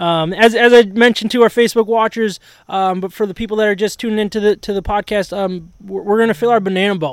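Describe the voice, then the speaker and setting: Very fast speech with an American accent, fairly even intonation and hardly any pauses, on a very clean recording with a silent background. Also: man, high pitch for a man. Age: 30s. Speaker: sports podcast host. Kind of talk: casual chat. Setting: outdoors under a gazebo in the rain.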